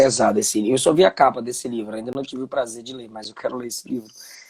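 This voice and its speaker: A man speaks at a very fast pace with hardly any pauses and big swings in loudness. Noticeable background noise runs underneath. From Bahia, Brazil (Ilhéus). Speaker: preacher, live-stream host. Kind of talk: conversational interview, live stream. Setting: live video stream.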